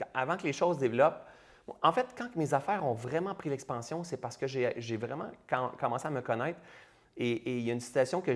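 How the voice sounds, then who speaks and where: With a Quebec accent, a man speaks at a fairly quick pace in an animated tone, his medium-pitched voice showing ordinary pitch variation. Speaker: entrepreneur and public speaker. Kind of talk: interview conversation.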